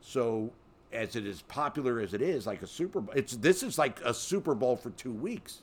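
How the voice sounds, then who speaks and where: A man talks in a normal speaking voice with an American accent. His pitch is medium, his pace moderate and his intonation lively. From Baltimore, Maryland. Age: 50s. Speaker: sports radio host. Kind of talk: casual sports talk.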